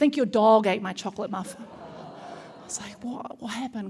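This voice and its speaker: A woman with a New Zealand accent speaks at a fairly high pitch. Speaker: comedian. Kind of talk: stand-up. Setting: stage with audience.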